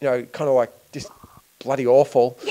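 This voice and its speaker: A man speaks at a very fast pace with an Australian accent. His tone is dark and mellow. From Australia, Melbourne. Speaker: filmmaker. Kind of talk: interview. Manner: hesitant, many fillers. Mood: relaxed, amused reminiscing. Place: home room. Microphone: handheld.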